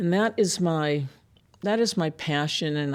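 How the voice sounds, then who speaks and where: A woman with an American accent has a plain, everyday voice, fairly low in pitch, with ordinary pitch variation. She speaks at a fairly slow pace in a very clean recording with a silent background. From Massachusetts. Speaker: immigration attorney. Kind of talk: interview conversation. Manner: conversational with fillers.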